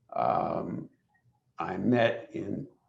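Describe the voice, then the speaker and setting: The speaker is a man. Vocal fry runs through his voice. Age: 70s. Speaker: human rights lawyer, webinar panelist. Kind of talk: panel discussion. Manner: halting, many fillers.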